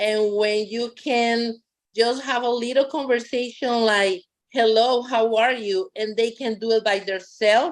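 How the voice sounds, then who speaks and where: A woman with a Costa Rican accent, fairly high in pitch, fairly slow and fairly even in intonation. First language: Spanish. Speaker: bilingual parent educator. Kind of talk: public meeting remarks.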